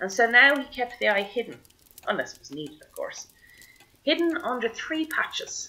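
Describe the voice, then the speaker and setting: With an Irish accent, a woman talks at a moderate pace. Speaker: storyteller. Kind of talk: traditional oral storytelling.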